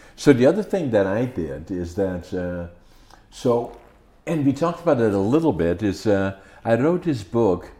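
A man's dark, mellow voice with a Dutch accent, very wide pitch swings and a moderate pace. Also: medium pitch for a man. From Netherlands (Groningen). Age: 80s+. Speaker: podcast host. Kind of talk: interview. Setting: video recording at home.

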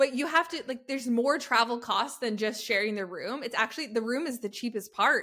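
Bright, sharp in tone, the speaker moves at a fairly quick pace with hardly any pauses and ordinary pitch variation. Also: woman, high pitch for a woman. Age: 30s. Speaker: podcast co-host. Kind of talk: casual chat. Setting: video call.

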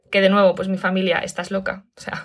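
A woman at a fairly quick pace, in a very clean recording with a silent background. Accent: Castilian. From Spain. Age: 30s. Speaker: digital nomad and online school founder. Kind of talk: interview.

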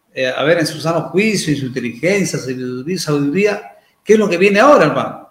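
A man talks at a moderate pace, his words carrying audible room echo. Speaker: TV news journalist and host. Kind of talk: live TV talk show.

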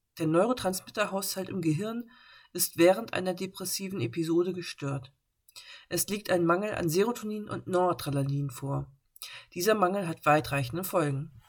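A woman's unremarkable speaking voice, fairly low in pitch, with ordinary pitch variation at a moderate pace. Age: 30s. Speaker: podcast host living with bipolar disorder. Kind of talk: personal monologue podcast; scripted reading.

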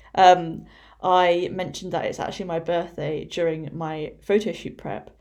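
Speaking at a moderate pace, a woman with a fairly low voice keeps her intonation fairly even while her loudness swings widely. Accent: English. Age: 20s. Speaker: fitness coach. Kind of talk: solo podcast monologue. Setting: at home. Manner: casual.

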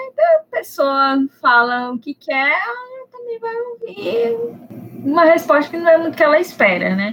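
Fairly slow delivery with very wide pitch swings and a dry, close sound free of echo. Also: woman, high pitch for a woman. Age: 30s. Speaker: advertising professional. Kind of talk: casual podcast interview.

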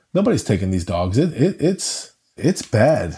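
A man with a New York accent speaks in a medium pitch, somewhat breathy, with a dark, mellow tone. The background is quiet. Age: middle-aged. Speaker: dog rescue founder. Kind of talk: interview conversation.

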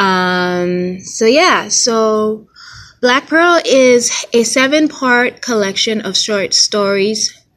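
The speech comes at a very slow pace in an American accent. The intonation is lively. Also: woman, fairly high pitch for a woman. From Haitian American. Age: 20s. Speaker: author and fashion designer. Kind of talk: solo podcast monologue. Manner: hesitant, many fillers.

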